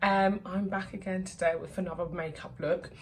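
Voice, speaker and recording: Somewhat breathy, medium-pitched speech from a woman at a moderate pace. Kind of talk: makeup tutorial voiceover. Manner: casual, chatty.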